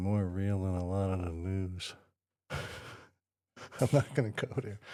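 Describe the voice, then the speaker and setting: A man with an American accent speaks very slowly in a very deep, low voice with a dark, mellow tone and fairly even intonation. The recording is very clean, with a silent background. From northern New Jersey. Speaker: wrestling fan, podcast co-host. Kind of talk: casual chat.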